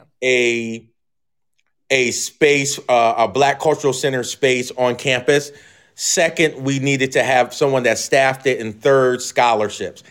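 This is an ordinary speaking voice with an American accent. The pace is fairly slow and the intonation fairly even. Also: man, medium pitch for a man, very clean recording, silent background. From Philadelphia area, US. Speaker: professor. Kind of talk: interview.

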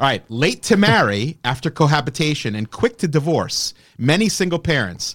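On a very clean recording with a silent background, a fairly high-pitched man talks at a moderate pace in an animated tone with very wide pitch swings. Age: 40s. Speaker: podcast host. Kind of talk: casual rant. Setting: studio. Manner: animated, profane.

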